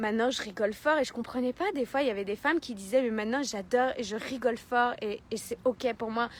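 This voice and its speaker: A woman speaks loudly in a high pitch with an animated tone and ordinary pitch variation. She moves at a fairly quick pace with hardly any pauses. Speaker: life coach. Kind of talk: motivational talk. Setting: live video stream.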